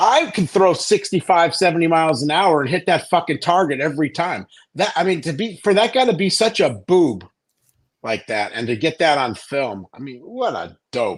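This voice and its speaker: This man talks at a moderate pace in a high pitch with very wide pitch swings. The background is quiet. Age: 60s. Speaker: caller. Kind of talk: casual rant on a live call-in show. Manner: animated, profane.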